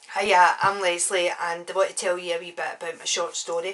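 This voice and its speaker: A woman speaks with a Glaswegian accent. Noticeable background noise can be heard. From Scotland, Glasgow. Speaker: author. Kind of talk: casual monologue.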